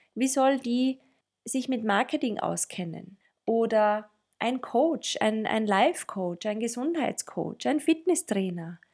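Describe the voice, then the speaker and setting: A woman speaks very slowly in a Tyrolean accent. Her voice is fairly high in pitch, with lively intonation. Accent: Tyrolean, rolled R. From Austria, Tyrol. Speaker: podcast co-host, marketing consultant. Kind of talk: casual chat. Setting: studio, sitting next to co-host.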